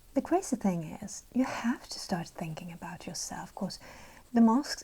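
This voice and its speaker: Soft-spoken whispering moves along at a moderate pace. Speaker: ASMR colouring video creator. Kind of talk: ASMR-style soft-spoken commentary while colouring. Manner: soft-spoken, whispery.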